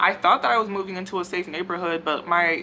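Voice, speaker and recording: Talking at a very fast pace, a woman with a fairly low pitch is heard over noticeable background noise. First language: not English. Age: 20s. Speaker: hair care YouTuber. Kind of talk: casual Q&A vlog. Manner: conversational with many fillers.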